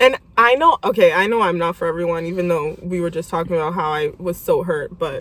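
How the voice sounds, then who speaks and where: With a normal speaking voice at a fairly low pitch, a woman talks fairly quickly with hardly any pauses and ordinary pitch variation. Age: 20s. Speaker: podcast host. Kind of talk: casual chat.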